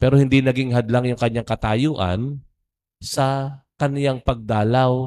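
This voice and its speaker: A man with an ordinary speaking voice talks at a fairly slow pace in a medium pitch. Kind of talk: homily. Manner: casual.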